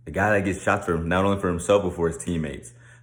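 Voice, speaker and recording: Audible room echo surrounds a man speaking in a very deep, low voice. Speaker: sports commentator. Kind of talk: casual monologue.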